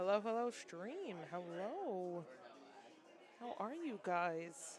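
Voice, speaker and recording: Audible room echo surrounds a woman speaking at a medium pitch and a very slow pace. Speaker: livestream commentator for card game matches. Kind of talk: live commentary. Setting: card shop league event, sitting behind player. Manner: loud.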